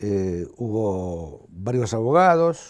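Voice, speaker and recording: Very wide pitch swings from a man, recorded very cleanly against a silent background. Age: 70s. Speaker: human rights activist. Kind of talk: interview testimony. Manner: halting, with repeated word fragments.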